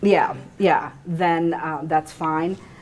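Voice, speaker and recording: Her very deep, low voice stays monotone and flat as this woman talks. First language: not English. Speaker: attorney. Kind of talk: panel Q&A discussion. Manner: conversational, many fillers.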